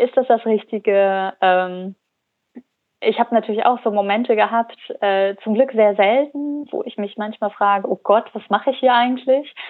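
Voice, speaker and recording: Her pitch fairly high for a woman, she talks at a moderate pace with fairly even intonation. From Germany, Cologne. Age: 20s. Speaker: founder of a fashion rental startup. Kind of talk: interview. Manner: halting, many fillers.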